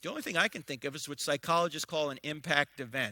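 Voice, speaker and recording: A man's animated, bright and sharp voice at a fairly high pitch and fairly quick pace, dry and close with no echo, in a very clean recording with a silent background. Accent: American. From New Jersey. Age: 60s. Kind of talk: public lecture.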